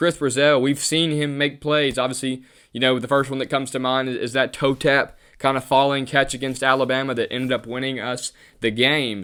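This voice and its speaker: A man speaks at a fairly quick clip in a bright, sharp tone. His intonation stays flat and monotone over a very clean recording with a silent background. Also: medium pitch for a man. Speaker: sports podcast host. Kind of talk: casual solo sports commentary. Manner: halting, with filler words.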